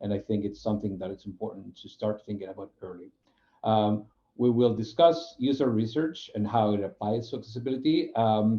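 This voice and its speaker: This man has a fairly low pitch and a Spanish accent. He moves at a fairly quick pace. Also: ordinary pitch variation. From Spain. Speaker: UX program manager. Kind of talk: webinar presentation. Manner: halting, many fillers.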